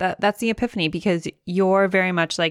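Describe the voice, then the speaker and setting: In a very clean recording with a silent background and a dry, close sound with no echo, a woman with a plain, everyday voice speaks at a fairly quick pace, fairly low in pitch with ordinary pitch variation. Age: 30s. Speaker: podcast co-host, business owner. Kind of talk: casual chat.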